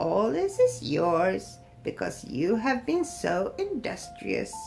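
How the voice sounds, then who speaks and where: A woman performs a put-on character voice at a very slow pace while music plays clearly in the background. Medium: read story. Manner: kind, gentle.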